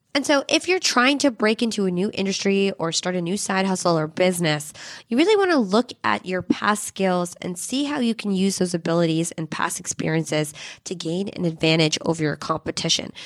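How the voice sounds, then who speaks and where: In an ordinary speaking voice, a woman at medium pitch talks at a fairly quick pace with lively intonation. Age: 30s. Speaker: podcast host. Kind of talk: scripted narration.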